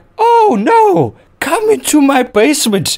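A put-on character voice, high in pitch, with very wide pitch swings and a fairly slow pace. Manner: mocking, sweetly sinister.

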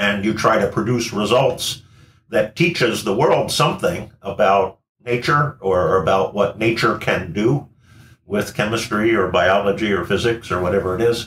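Amid light background noise and audible room echo, a man speaks at a moderate pace with very even loudness. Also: fairly low pitch for a man, ordinary pitch variation. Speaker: engineering professor. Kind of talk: interview answer. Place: home room.

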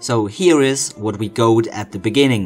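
A man with a non-native accent speaks fairly slowly at a medium pitch. His intonation is lively, and music plays behind him. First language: not English. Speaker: cosplayer. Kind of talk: tutorial narration. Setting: home recording, poor equipment. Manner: playful, joking.

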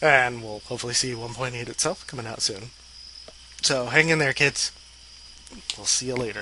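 A man talks at a moderate pace and medium pitch with fairly even intonation and long, frequent pauses. The sound is dry with no echo, with light background noise. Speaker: video blogger. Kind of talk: casual chat. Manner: rambling, laughing. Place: home room. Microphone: headset.

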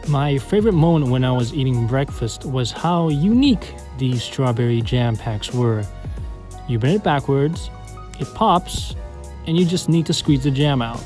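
Speech comes at a moderate pace over music in the background. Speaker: exchange student vlogger. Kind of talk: casual vlog narration.

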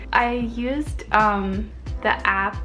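Faint music plays behind a woman as she talks. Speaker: language learning vlogger. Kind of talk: casual vlog chat. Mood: cheerful and friendly. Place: home room. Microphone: phone near.

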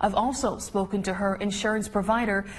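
Fairly high pitch, moderate pace, an unremarkable speaking voice from a woman. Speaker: television news reporter. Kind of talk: news package voiceover.

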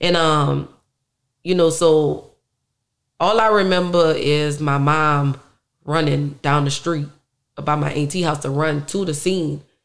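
A woman with a New Orleans accent speaks at a fairly slow pace, very deep and low in pitch, fairly even in intonation, with long, frequent pauses. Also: quiet background. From New Orleans, uptown. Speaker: musician; interview guest. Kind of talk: interview. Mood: emotional, reflective about family loss. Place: studio. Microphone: studio mic.

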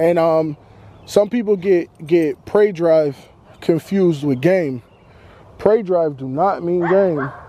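Speaking with an American accent at a very slow pace, a man uses a high pitch with ordinary pitch variation and long, frequent pauses, the sound dry with no echo and light background noise. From Boston, US. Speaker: dog owner vlogger. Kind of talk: casual vlog monologue. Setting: outdoors walking dog. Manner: halting, many fillers. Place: open country. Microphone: phone near.

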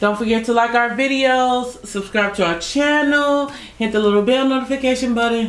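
A woman speaks with ordinary pitch variation, and audible echo fills the room. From United States. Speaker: YouTube couple vlogger; couple vlogger. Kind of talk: casual chat. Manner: laughs often, playful. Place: home room.

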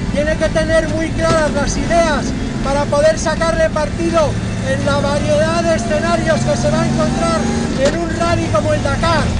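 Loud background noise runs under the voice. The pace is moderate. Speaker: motoring journalist test-driving. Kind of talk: commentary. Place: car.

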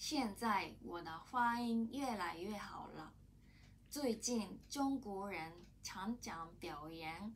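A woman speaks very slowly at a medium pitch, somewhat breathy, with lively intonation over light background noise. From Japan. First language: Japanese (speaking Chinese). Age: 30s. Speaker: language student. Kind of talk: prepared testimony in learned language. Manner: halting. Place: office. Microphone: camera far.

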